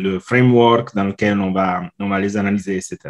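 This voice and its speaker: A man with an Italian accent against a quiet background. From Italy. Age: 40s. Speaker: customer experience consultant. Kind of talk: podcast interview. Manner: halting, many fillers.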